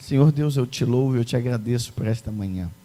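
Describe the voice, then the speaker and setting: Somewhat breathy and dark, mellow in tone, a man's voice carries lively intonation. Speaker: preacher. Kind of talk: sermon. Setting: church.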